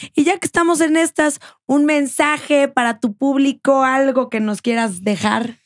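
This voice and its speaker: A woman speaks at a fairly slow pace in a high pitch. Her pitch varies in an ordinary way, and the background is quiet. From Mexico. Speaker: podcast host. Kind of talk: interview. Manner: animated. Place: studio. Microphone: studio mic.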